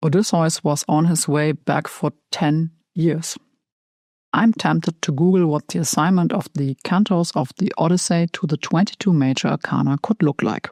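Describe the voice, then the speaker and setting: In a very clean recording with a silent background and a dry, close sound with no echo, a woman with a German accent and a fairly low pitch speaks at a moderate pace with ordinary pitch variation and very even loudness. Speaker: tarot content creator. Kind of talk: scripted narration.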